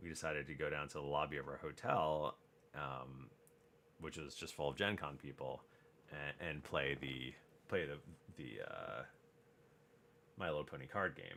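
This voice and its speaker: Soft-spoken and at a fairly slow pace, a man speaks with vocal fry in a very deep, low pitch, his tone bright and sharp, his intonation fairly even, and his pauses long and frequent. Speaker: crafting streamer. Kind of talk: casual live stream chat. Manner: soft-spoken, low talker.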